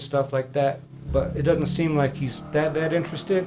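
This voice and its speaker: A man's fairly high, monotone, flat voice with an American accent at a fairly quick pace over noticeable background noise. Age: 40s. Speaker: podcast host. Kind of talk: casual interview chat.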